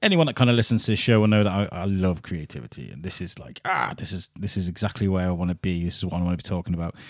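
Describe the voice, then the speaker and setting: A man with a very deep, low voice talks very fast, with ordinary pitch variation and hardly any pauses, on a very clean recording with a silent background. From English-Welsh border area (Telford, then Wrexham). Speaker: podcast host. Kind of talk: casual chat. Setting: home studio. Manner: loud.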